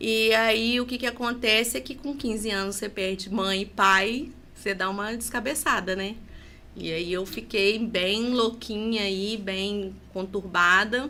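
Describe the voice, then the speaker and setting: A fairly high-pitched woman's voice, bright and sharp in tone, at a fairly slow pace. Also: ordinary pitch variation. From Minas Gerais, Brazil (Leopoldina). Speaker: podcast guest. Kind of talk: interview conversation, personal testimony.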